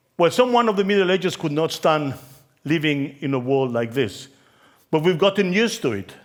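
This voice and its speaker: In a Spanish accent, a man with a fairly high pitch talks at a fairly quick pace with very wide pitch swings, on a very clean recording with a silent background. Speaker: conference keynote speaker on branding. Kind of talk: conference talk.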